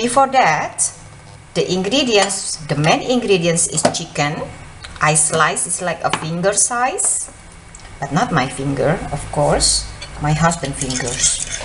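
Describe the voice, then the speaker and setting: The voice swings very widely in pitch and moves at a very slow pace. There is audible room echo and noticeable background noise. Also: woman, fairly low pitch for a woman. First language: Indonesian. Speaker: home cooking channel host. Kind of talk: cooking tutorial.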